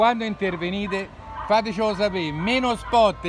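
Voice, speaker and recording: A man speaks at a moderate pace with fairly even intonation. Music plays in the background, and the sound is dry with no echo. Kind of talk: protest commentary. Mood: indignant, critical. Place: street. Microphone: phone near.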